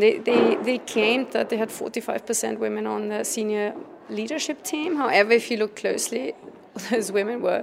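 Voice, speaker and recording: Noticeable background noise around a woman talking at a medium speed. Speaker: campaign co-founder. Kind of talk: interview. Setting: busy event venue. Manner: assertive, rhetorical.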